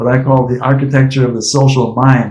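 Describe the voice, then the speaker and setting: A man's somewhat breathy voice, medium in pitch, with a dark, mellow tone. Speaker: AI professor and researcher. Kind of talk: academic discussion. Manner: fast.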